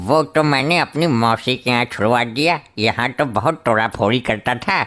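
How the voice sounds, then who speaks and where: A man uses a put-on character voice at medium pitch. His loudness stays very even at a moderate pace. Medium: comedy sketch. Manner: earnest, pleading.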